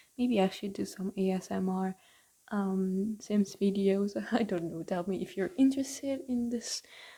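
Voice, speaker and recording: A woman whispers quietly in a somewhat breathy voice with a non-native accent. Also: moderate pace. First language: not English. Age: young. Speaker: gaming YouTuber. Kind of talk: gameplay voiceover. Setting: home bedroom recording. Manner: quiet, under her breath; whispery like ASMR.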